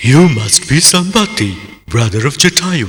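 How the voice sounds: A man puts on a cartoonish character voice at a fairly high pitch. He talks at a moderate pace with very wide pitch swings.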